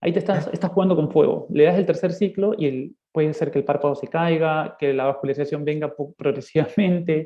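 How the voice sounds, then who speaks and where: A man speaks at a fairly quick pace with hardly any pauses. His pitch variation is ordinary. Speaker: ophthalmologist. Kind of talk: lecture; casual chat. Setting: video call.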